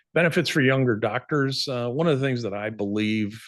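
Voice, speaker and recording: Against a quiet background, a man uses an ordinary speaking voice with lively intonation at a moderate pace. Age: 60s. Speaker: dental practice sales advisor. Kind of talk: webinar presentation. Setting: online webinar.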